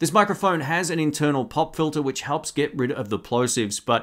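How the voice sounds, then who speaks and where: The surroundings are quiet. A man talks fairly quickly, his intonation lively. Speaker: tech reviewer. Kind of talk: product review tutorial. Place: studio. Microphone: studio mic.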